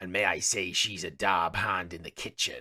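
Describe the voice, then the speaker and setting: The pace is moderate. It's a put-on character voice. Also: man. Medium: actual play. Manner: hearty, folksy pirate talk.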